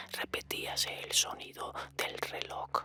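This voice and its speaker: A whisper against noticeable background noise. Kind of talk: horror story reading. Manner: whispered.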